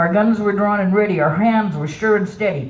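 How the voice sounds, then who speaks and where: A woman's lively intonation rises over noticeable background noise. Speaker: poet. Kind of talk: poetry reading. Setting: outdoors.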